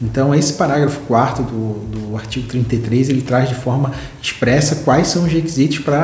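A man's fairly high-pitched voice at a moderate pace, with ordinary pitch variation, audible room echo and noticeable background noise. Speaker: legal educator explaining case law. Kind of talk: legal explainer video. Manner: halting, many repetitions and fillers.

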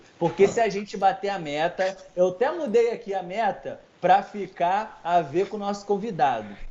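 Barely pausing, a man speaks at a high pitch and moderate pace with ordinary pitch variation. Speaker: comedy podcast co-host. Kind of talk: casual chat. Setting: live stream. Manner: animated.

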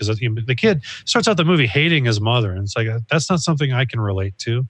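Over a quiet background, a man talks very fast at a medium pitch. His voice is somewhat breathy, with ordinary pitch variation. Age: 40s. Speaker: podcast co-host. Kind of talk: casual chat. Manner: animated.

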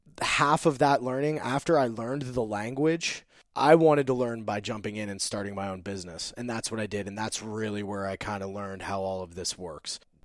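Speaking at a fairly quick pace in a plain, everyday voice, a man with fairly low pitch and ordinary pitch variation is heard on a very clean recording with a silent background. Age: 30s. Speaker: army veteran and entrepreneur. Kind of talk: interview.

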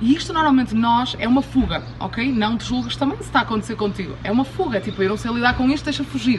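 A woman talks at a very fast pace in an animated tone. Music plays in the background. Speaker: podcast host, abundance coach. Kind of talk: motivational talk. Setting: outdoors, in Cuba.

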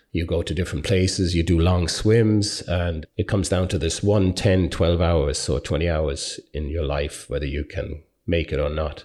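With hardly any pauses, a man in an Irish accent talks in a very deep, low pitch with ordinary pitch variation. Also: moderate pace. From Ireland. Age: 50s. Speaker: long distance endurance swimmer. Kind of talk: interview by school pupils.

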